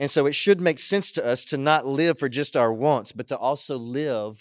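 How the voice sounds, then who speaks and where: A man's unremarkable speaking voice, fairly high in pitch, with lively intonation at a moderate pace. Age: 40s. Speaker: pastor. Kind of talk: sermon. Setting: online worship service broadcast.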